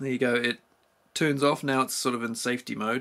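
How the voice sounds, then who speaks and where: With a New Zealand accent, this voice moves at a fairly quick pace, bright and sharp in tone with vocal fry. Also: man. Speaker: tool reviewer. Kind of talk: product review. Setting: home garage. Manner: casual.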